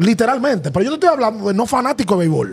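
The pace is very fast. A man speaks with lively intonation. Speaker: sports podcast host. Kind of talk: interview question and commentary. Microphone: studio mic.

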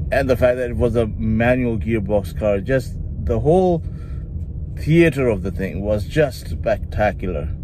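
There is light background noise around a man with a fairly low pitch. He talks at a fairly slow pace in a dry sound with no echo. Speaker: car reviewer. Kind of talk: casual vlog chat. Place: car. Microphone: phone near.

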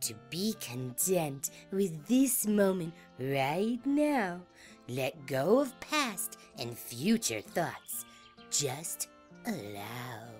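A put-on character voice at a middle pitch swings very widely up and down, with an upbeat, gentle tone. It moves at a very slow pace, with clear music in the background.

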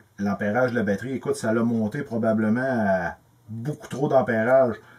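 In a Quebec accent, a man speaks at a fairly slow pace. The background is quiet. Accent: Québécois French. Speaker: electrical tutorial youtuber; presenter. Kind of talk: tutorial. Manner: casual, halting with repetitions. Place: workshop.

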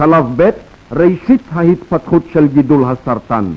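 Speaking very slowly, a man keeps his intonation lively. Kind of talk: newsreel narration. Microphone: old recording.

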